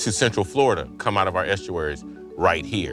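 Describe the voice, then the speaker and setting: Over music in the background, a man with an American accent talks at a fairly quick pace with very wide pitch swings. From Coastal Georgia, USA. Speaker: chef and farmer. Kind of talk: interview answer.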